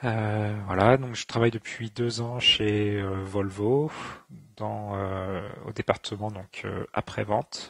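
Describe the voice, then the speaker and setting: Very slowly and somewhat breathily, a man speaks at a fairly low pitch with fairly even intonation, the sound dry and close with no echo. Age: 30s. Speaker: engineer. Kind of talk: interview testimony. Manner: halting, many filler sounds.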